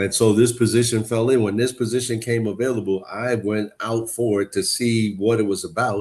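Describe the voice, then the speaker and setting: With hardly any pauses, a man talks at a moderate pace in a medium pitch and fairly even intonation, an ordinary speaking voice. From New York. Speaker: youth worker and coach. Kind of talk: panel discussion.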